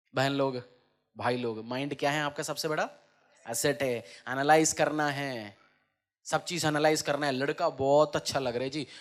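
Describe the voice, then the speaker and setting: A man with a plain, everyday voice talks at a fairly high pitch with fairly even intonation. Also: very clean recording, silent background. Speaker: pastor. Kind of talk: church sermon preaching to congregation.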